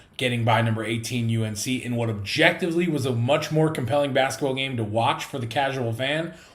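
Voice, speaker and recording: A man, somewhat breathy, medium in pitch, at a fairly quick pace with ordinary pitch variation and audible room echo. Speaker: sports podcast host. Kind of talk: sports pregame show. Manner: fast.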